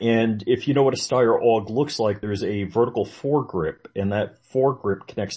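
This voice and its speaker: This man's medium-pitched voice is somewhat breathy and shows ordinary pitch variation. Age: 50s. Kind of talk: casual chat.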